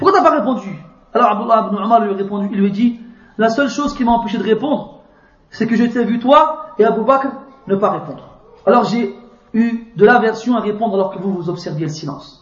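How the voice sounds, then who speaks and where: A man talks at a fairly quick pace in a high pitch, with ordinary pitch variation and long, frequent pauses. Audible room echo surrounds his voice. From France. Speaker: Islamic preacher. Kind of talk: religious lecture. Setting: mosque.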